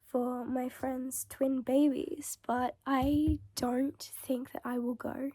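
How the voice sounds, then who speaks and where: In an Australian accent, a woman speaks with high pitch and fairly even intonation. Her tone is dark and mellow, and the sound is dry and close with no echo. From Melbourne, Australia. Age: 20s. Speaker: vlogger. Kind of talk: casual vlog talk to camera. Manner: frequent throat clearing.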